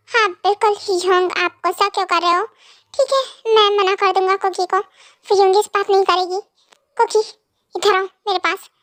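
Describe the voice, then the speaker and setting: Using a put-on character voice at an extremely high pitch, a woman talks at a moderate pace with fairly even intonation and long, frequent pauses, in a dry, close sound with no echo. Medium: fan dub.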